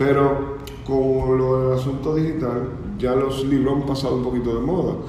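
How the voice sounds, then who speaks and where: A man talks at a moderate pace and medium pitch. Audible room echo and noticeable background noise surround him. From Dominican Republic, Cibao (Bonao). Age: 40s. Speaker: photographer. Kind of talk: casual chat. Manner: halting.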